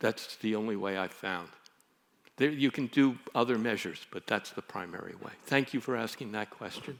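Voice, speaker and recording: A man speaks in an unremarkable speaking voice, with an American accent. His pace is moderate and his pitch variation is ordinary. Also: medium pitch for a man. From United States. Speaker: philosopher and leadership consultant. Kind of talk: conference talk with Q&A.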